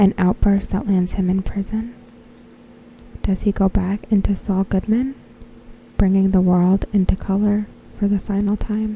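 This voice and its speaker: Soft-spoken and relaxed in tone, the speaker moves at a moderate pace with long, frequent pauses. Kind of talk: soft-spoken ASMR talk to camera, reading fan predictions. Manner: soft-spoken, relaxed.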